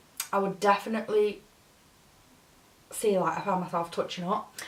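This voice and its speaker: Through noticeable background noise, a woman speaks at a moderate pace with fairly even intonation. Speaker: beauty YouTuber. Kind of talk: makeup tutorial review.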